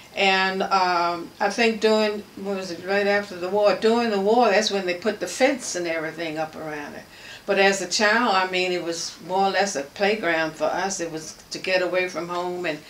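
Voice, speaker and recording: Over noticeable background noise, a woman with a medium-pitched voice speaks at a moderate pace, her intonation fairly even but her loudness swinging widely. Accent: American. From Washington, DC. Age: 80s+. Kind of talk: interview answer. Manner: reminiscing, relaxed.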